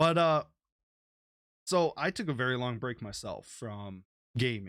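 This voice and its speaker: A man with an American accent at a medium pitch, lively intonation, and a fairly slow pace, in a very clean recording with a silent background. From USA. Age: 20s. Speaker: podcast host. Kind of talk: casual chat.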